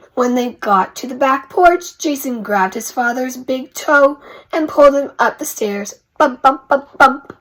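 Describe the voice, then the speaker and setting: A woman's raspy, put-on character voice, high in pitch, with ordinary pitch variation at a moderate pace. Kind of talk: children's read-aloud. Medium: read story. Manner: rhythmic, repetitive.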